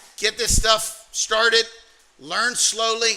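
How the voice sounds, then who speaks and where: A man speaks in a raised, projected voice. Noticeable background noise is present. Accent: American. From US South, Alabama. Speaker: trading mentor. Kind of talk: motivational workshop talk.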